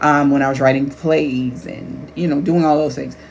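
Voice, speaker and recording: Over noticeable background noise and audible room echo, a woman with a very deep, low pitch talks at a fairly quick pace with fairly even intonation. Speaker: life coach and author. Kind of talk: casual talk to camera.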